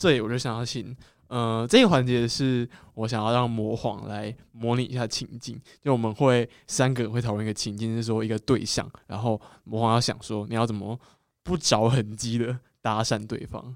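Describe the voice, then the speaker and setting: A man talks in an ordinary speaking voice. His intonation is fairly even. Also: medium pitch for a man, moderate pace. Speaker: podcast host. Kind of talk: casual chat.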